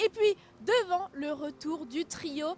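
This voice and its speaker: Amid noticeable background noise, a woman with a French accent speaks at a high pitch with lively intonation. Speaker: football club presenter. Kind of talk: live pre-match presentation.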